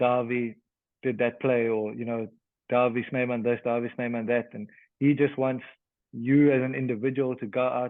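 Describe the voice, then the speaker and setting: A man speaking at a moderate pace. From South Africa, Western Cape. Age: 30s. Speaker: professional rugby player. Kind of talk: casual interview chat. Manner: halting, many repeated words.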